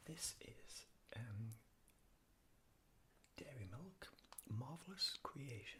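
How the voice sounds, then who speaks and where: A man whispers with a British accent. His pace is very slow. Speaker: ASMR artist. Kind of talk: ASMR unscripted ramble. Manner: whispered, soft-spoken.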